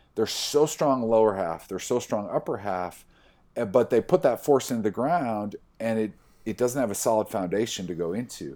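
An American accent from a man, dark and mellow in tone, with lively intonation at a moderate pace in a very clean recording over a silent background. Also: medium pitch for a man. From US Midwest (Iowa). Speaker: sports rehab coordinator. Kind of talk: casual interview.

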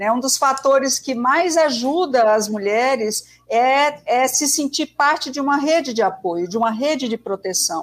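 Her pace is fairly slow and she hardly pauses at all. This woman has a high pitch and lively intonation. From Brazil, Northeast. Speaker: sociologist. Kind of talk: interview.

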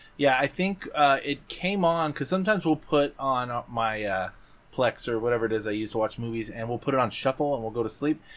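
This man's voice is an unremarkable speaking voice, pitched at a medium level. His intonation is lively and his pace fairly quick. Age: 40s. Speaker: podcast co-host. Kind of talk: casual chat.

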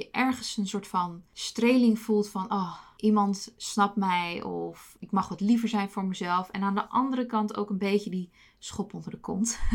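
A woman speaks at a fairly slow pace with hardly any pauses, her medium-pitched, somewhat breathy voice keeping a fairly even intonation on a very clean recording with a silent background. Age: 30s. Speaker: podcast host. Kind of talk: personal monologue.

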